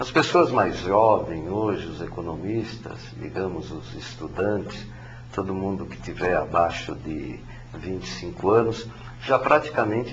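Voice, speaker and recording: Over noticeable background noise and audible room echo, a man talks at a fairly slow pace with very wide pitch swings. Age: 60s. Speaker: economics professor. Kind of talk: interview. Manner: halting, many fillers.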